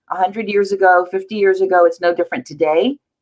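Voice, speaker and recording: A woman's fairly low voice, a normal speaking voice, with ordinary pitch variation and a fairly quick pace. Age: 60s. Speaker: actress and film festival founder. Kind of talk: panel discussion.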